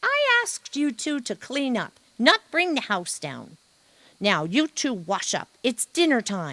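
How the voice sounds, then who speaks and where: A female-sounding voice uses a put-on character voice at a high pitch. The pace is fairly slow. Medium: read story. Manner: brisk, folksy.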